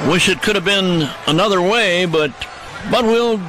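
At a moderate pace, a man with a high pitch speaks in a dry sound with no echo, amid noticeable background noise. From United States. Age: 80s+. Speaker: baseball radio announcer. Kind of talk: sign-off at end of radio broadcast. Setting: radio broadcast. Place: booth.

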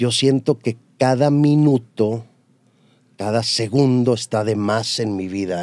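Dark, mellow tone from a man at medium pitch with ordinary pitch variation. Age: middle-aged. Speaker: TV news anchor. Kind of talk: casual interview.

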